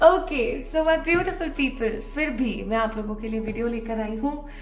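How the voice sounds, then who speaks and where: Amid noticeable background noise and audible room echo, a woman speaks at a moderate pace with ordinary pitch variation. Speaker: tarot reader. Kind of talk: tarot reading to camera. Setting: early morning recording at home. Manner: casual, chatty.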